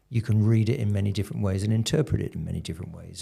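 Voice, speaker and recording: A somewhat breathy voice with a dark, mellow tone speaks with a British accent. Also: man. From UK. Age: 60s. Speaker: karate instructor. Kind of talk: casual chat. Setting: studio.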